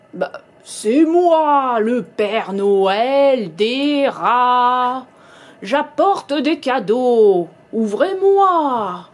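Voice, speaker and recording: In a put-on character voice, a female-sounding speaker talks at a very slow pace with a high pitch. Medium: read story. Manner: sly, greedy.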